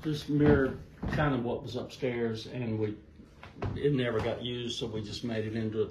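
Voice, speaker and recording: Over noticeable background noise and audible room echo, a man with a Southern US accent talks at a moderate pace with fairly even intonation. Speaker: homeowner recalling family vacations. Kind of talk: casual interview, storytelling.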